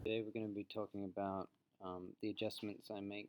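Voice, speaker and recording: A calm man with a fairly low pitch, fairly even intonation and a slight Australian accent. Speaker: teacher. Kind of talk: reflective presentation; lecture. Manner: clear.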